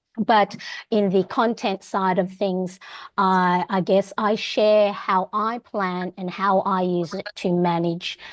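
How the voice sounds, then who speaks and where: The sound is dry and close with no echo as a woman with an Australian accent speaks at a medium pitch in monotone, flat intonation. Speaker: homeschooling parent and planner content creator. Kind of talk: online meeting introduction.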